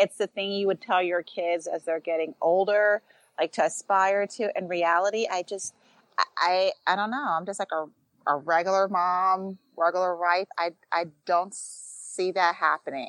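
A woman speaks at a moderate pace in an unremarkable speaking voice, with medium pitch and fairly even intonation. The background is quiet. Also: dry, close sound with no echo. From New York. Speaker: former teacher and mom, TV personality. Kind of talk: casual chat.

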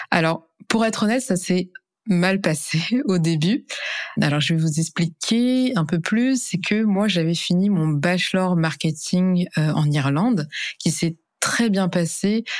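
A woman's fairly low voice at a very slow pace, with lively intonation and very even loudness. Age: 20s. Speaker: e-commerce specialist and influencer. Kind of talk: interview testimony. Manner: hesitant, many fillers.

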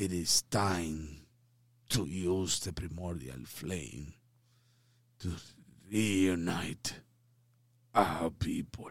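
Someone uses a put-on character voice at a very slow pace, with long, frequent pauses and ordinary pitch variation. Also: man, very deep, low pitch for a man. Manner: halting, slow.

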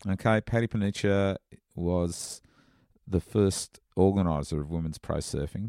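In an Australian accent, a man with a very deep, low pitch and a dark, mellow tone speaks at a fairly slow pace with ordinary pitch variation, in a very clean recording with a silent background and a dry, close sound with no echo. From Australia, Sydney northern beaches. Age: 50s. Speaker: surfing journalist. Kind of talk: casual interview. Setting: in person in California. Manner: halting, many fillers.

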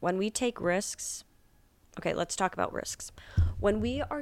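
A woman's fairly low-pitched voice at a fairly slow pace. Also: very clean recording, silent background. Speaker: podcast host. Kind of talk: casual solo monologue.

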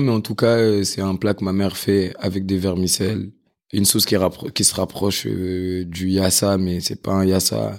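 Speaking at a moderate pace in a normal speaking voice, a man with fairly low pitch comes through on a very clean recording with a silent background. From Paris, France. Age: 20s. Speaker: chef. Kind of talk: casual interview chat.

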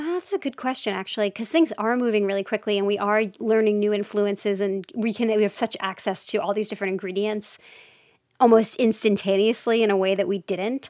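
An unremarkable speaking voice from a woman, medium in pitch with fairly even intonation, against a quiet background. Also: fairly quick pace. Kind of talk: casual interview.

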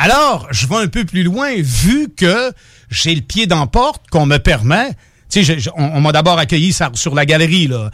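In a very clean recording with a silent background, a man with a Quebec accent speaks fairly slowly in a high voice with very wide pitch swings. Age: 50s. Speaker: radio co-host. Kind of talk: casual chat. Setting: radio studio.

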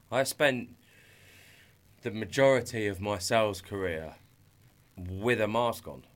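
With an English accent, a man speaks at a fairly slow pace with long, frequent pauses, in a fairly low pitch with ordinary pitch variation. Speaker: entrepreneur. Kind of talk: testimony. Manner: halting.

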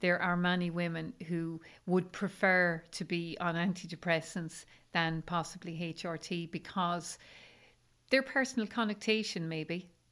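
A woman in an Irish accent talks at a fairly slow pace and fairly low pitch, her intonation fairly even, on a very clean recording with a silent background. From rural Ireland. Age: 50s. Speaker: menopause coach. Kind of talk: interview conversation.

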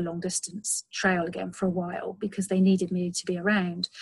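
A woman speaks at a medium pitch, somewhat breathy. Her intonation is monotone and flat. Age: 40s. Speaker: long distance walker and outdoor blogger. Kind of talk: interview.

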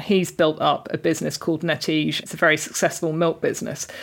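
With a southern English accent, a woman talks at a very fast pace with hardly any pauses, her very deep, low voice showing vocal fry. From southern England (Reading). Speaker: journalist and food writer. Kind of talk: interview.

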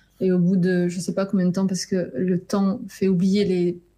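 A woman speaks at a moderate pace, her pitch medium. Her tone is dark and mellow, with a somewhat breathy quality. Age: 30s. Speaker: novelist. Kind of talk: interview.

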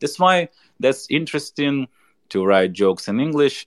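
Very cleanly recorded against a silent background, with a dry, close sound and no echo, a man with a Ukrainian accent speaks fairly slowly with very wide pitch swings. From Ukraine. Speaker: stand-up comedian. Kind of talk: interview. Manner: halting.

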